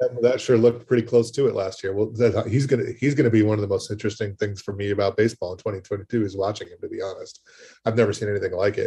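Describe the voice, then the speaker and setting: A man with a medium-pitched, dark, mellow, somewhat breathy voice talks at a very fast pace, his intonation fairly even but his loudness swinging widely. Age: 40s. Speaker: fantasy baseball podcast curator. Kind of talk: casual chat. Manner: halting, many fillers.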